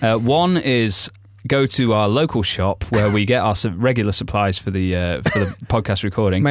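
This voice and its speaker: In a northern English accent, a man speaks at a fairly low pitch and a fairly slow pace. His intonation is lively while his loudness stays very even. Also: very clean recording, silent background. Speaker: podcast host. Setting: studio.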